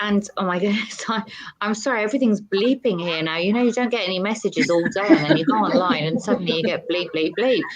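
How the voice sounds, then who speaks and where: Lively intonation carries the very fast speech. Noticeable background noise runs underneath. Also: woman, medium pitch for a woman. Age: 50s. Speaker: TV presenter and model. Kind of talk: interview.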